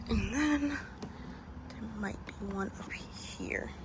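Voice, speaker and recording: A woman is whispering. Noticeable background noise and audible room echo can be heard. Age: 20s. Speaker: car content creator. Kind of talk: vlog tutorial. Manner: casual.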